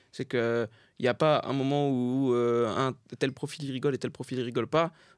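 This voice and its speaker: A man with a medium pitch has an ordinary speaking voice and fairly even intonation. The recording is very clean and silent in the background, with a dry, close sound and no echo. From France, Saint-Denis (Paris suburbs). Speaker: comedian. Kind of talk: casual chat.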